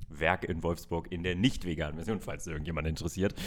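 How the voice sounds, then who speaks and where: Very wide pitch swings at a moderate pace, on a very clean recording with a silent background. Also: man. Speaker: food podcast co-host. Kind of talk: casual chat.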